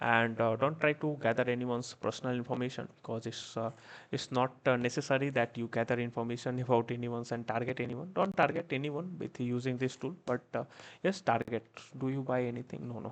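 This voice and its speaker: Soft-spoken and at medium pitch, a man talks at a fairly quick pace with ordinary pitch variation. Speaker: cybersecurity instructor. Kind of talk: live online class tutorial. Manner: hesitant, many fillers.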